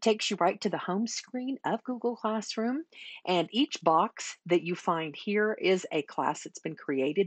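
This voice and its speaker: A plain, everyday voice moves at a moderate pace with lively intonation, in a dry sound with no echo over a quiet background. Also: woman. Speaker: teacher trainer. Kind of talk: tutorial. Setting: screen recording. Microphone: webcam.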